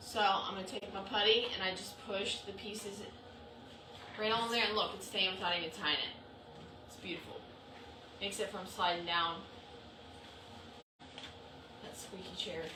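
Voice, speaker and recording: A woman with fairly even intonation shows big swings in loudness and long, frequent pauses, with noticeable background noise and audible room echo. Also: moderate pace. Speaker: crafter running a subscription box. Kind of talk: live craft tutorial. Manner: casual, chatty.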